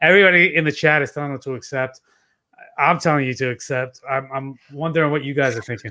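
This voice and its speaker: At a very fast pace, a man with a fairly high pitch talks in a bright, sharp tone with ordinary pitch variation. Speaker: fantasy football podcast co-host. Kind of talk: casual chat.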